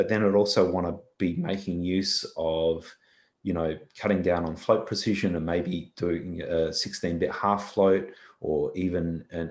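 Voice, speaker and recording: In an Australian accent, a man speaks at a moderate pace in a very deep, low pitch with a monotone, flat intonation. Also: very clean recording, silent background. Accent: thick Australian. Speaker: visual effects software engineer. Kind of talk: conference talk Q&A.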